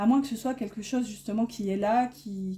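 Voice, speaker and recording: A woman of medium pitch with a northern French accent, somewhat breathy, with a dark, mellow tone at a moderate pace. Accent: northern French (ch'ti) accent showing. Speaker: tarot card reader. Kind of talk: tarot reading. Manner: hesitant, many fillers.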